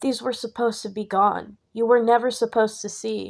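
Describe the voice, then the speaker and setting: Putting on a character voice, a woman speaks with a fairly high pitch at a fairly quick pace, in a very clean recording with a silent background. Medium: read story. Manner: pleading.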